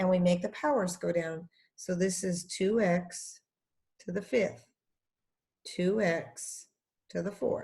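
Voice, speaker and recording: A woman speaks very slowly in a dark, mellow, somewhat breathy voice at a medium pitch. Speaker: math teacher. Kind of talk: tutorial. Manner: animated.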